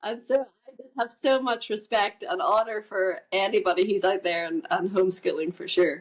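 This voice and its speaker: A woman with a Northern Irish accent speaks at a moderate pace in a fairly high pitch, with very wide pitch swings and big swings in loudness. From Northern Ireland, Carrickfergus near Belfast. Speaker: musician and podcast guest. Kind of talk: interview conversation.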